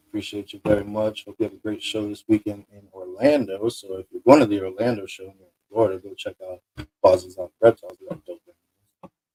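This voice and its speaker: A man's somewhat breathy, dark, mellow voice, fairly low in pitch, at a fairly quick pace, with ordinary pitch variation, big swings in loudness and a dry, close sound with no echo. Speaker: podcast host. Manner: fast.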